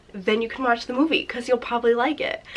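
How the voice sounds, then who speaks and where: A woman speaks over noticeable background noise. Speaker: booktuber. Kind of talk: casual vlog chat. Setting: seated at home filming spot.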